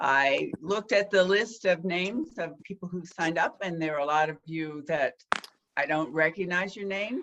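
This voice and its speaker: Using a plain, everyday voice, a woman speaks at a moderate pace with a fairly low pitch and ordinary pitch variation. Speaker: historical society president. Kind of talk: event host welcome.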